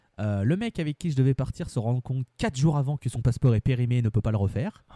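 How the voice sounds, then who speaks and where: This man's voice sits at a medium pitch with a dark, mellow tone, captured in a very clean recording with a silent background. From France, Lyon region. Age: 20s. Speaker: football supporter. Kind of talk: casual interview chat.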